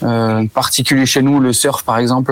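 Noticeable background noise sits behind a man at a medium pitch. His intonation is monotone and flat at a moderate pace. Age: 30s. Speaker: store manager. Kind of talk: interview.

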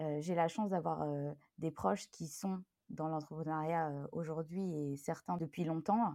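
A woman talks fairly slowly in a fairly low pitch with a dark, mellow tone. The sound is dry and close, with no echo. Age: 30s. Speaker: calligrapher, former primary school teacher. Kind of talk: interview conversation.

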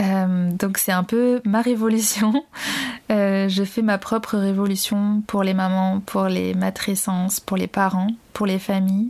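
A woman talks very slowly at a medium pitch, her intonation flat and monotone and her loudness very even. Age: 30s. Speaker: podcast host and doula in training. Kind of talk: solo podcast monologue. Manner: hesitant with filler sounds.

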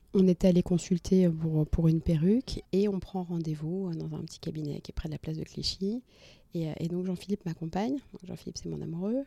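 A woman talks at a fairly quick pace in a dark, mellow tone with fairly low pitch. Her pitch variation is ordinary, while her loudness swings widely. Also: dry, close sound with no echo. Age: 30s. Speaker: entrepreneur, cancer survivor. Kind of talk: personal testimony. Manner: halting, many hesitations.

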